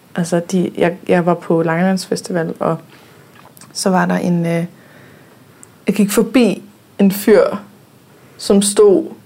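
Against noticeable background noise, a woman speaks fairly slowly at a medium pitch, her intonation fairly even. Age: 20s. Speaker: podcast host. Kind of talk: casual chat. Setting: studio.

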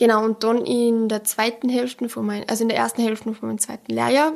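A woman's voice, fairly high in pitch. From Austria, Pongau (Salzburg). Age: young. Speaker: bank apprentice. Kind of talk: interview. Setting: bank branch.

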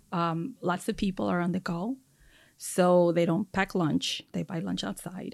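A woman speaks at a fairly slow pace in a fairly low pitch, with vocal fry and ordinary pitch variation, on a very clean recording with a silent background. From Mexico. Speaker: chef and restaurant owner. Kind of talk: casual interview.

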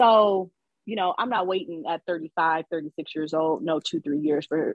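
A woman with a plain, everyday voice talks at a moderate pace, her pitch fairly low with ordinary pitch variation. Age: 30s. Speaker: businesswoman in mechanical field, co-host guest. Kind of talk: casual chat.

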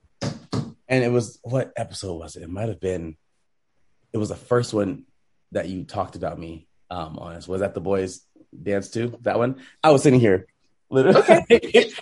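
Fairly low and somewhat breathy, this man's voice carries an American accent and ordinary pitch variation at a moderate pace. His loudness swings widely, and he takes long, frequent pauses. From Southern California, Rancho Cucamonga. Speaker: choreographer and former pro cheerleader. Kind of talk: interview.

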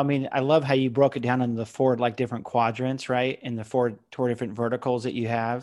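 Speaking at a fairly quick pace with an American accent, a man has an ordinary speaking voice, captured in a very clean recording with a silent background. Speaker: podcast host. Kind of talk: interview.

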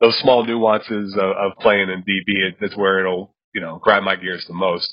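A man talks fairly quickly with fairly even intonation while noticeable background noise sits behind him. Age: 30s. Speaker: college football podcast host. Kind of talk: casual sports chat.

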